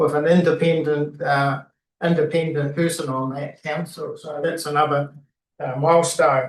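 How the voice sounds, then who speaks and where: A man at a moderate pace with a New Zealand accent. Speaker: retiring city councillor. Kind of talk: valedictory speech at council meeting. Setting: council chamber meeting. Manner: halting, many fillers.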